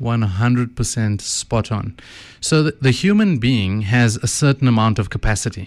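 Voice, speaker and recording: The speaker has a South African accent and ordinary pitch variation, at a moderate pace. The recording is very clean, with a silent background. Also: man, medium pitch for a man. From South Africa, KwaZulu-Natal Midlands. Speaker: author and former mine manager. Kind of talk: radio interview. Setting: studio.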